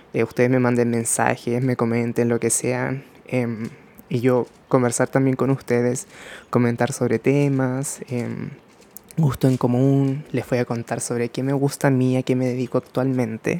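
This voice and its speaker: Flat and monotone, a man's medium-pitched voice moves at a fairly slow pace. His tone is dark and mellow. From Chile. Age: 20s. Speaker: podcast host, makeup artist. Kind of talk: casual monologue. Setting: at home by a window.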